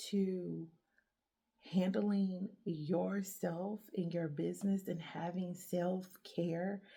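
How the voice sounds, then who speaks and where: A woman's somewhat breathy, dark, mellow voice at a very slow pace. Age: 30s. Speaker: podcast host. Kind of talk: solo motivational talk.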